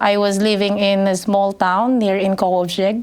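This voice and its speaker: At a moderate pace and medium pitch, a woman speaks over noticeable background noise. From Philippines, northern Luzon. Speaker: English teacher and business owner. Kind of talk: podcast interview. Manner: hesitant, many fillers.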